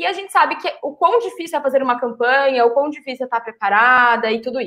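Pitched high, a woman's voice moves along at a moderate pace. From São Paulo, Brazil. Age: young. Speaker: political activist and city council pre-candidate. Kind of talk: live-streamed political panel chat. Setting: live stream.

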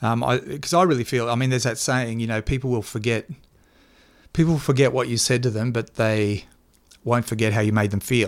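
With an Australian accent, the speaker moves at a fairly quick pace with ordinary pitch variation, in a very clean recording over a silent background. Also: man, medium pitch for a man. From Queensland, Australia (Toowoomba). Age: 50s. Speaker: journalist and former political media advisor. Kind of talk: interview. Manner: halting, frequent fillers.

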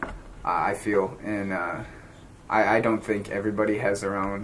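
The man's pitch is fairly low. Background noise is noticeable. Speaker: podcast host. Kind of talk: casual chat.

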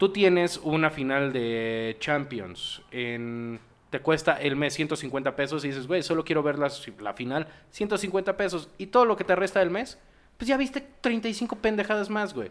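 Speaking slowly-ish with a Mexican accent, this man has a fairly high pitch and very wide pitch swings. The recording is very clean, with a silent background. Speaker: podcast host. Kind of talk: casual chat.

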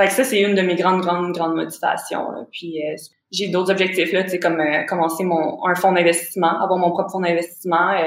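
A woman's fairly low, monotone voice with flat intonation and audible room echo. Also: fairly quick pace. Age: 20s. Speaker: forex trader and real estate investor. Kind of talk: casual interview chat. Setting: remote call.

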